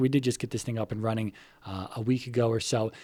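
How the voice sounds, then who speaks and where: A man talks at a very fast pace. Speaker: gaming vlogger. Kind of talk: casual vlog. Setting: kitchen. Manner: occasional slurring.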